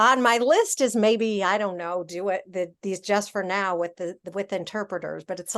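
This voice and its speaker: An ordinary speaking voice from a woman at medium pitch, with ordinary pitch variation. She talks at a moderate pace against a quiet background. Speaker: meeting host. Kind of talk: casual chat.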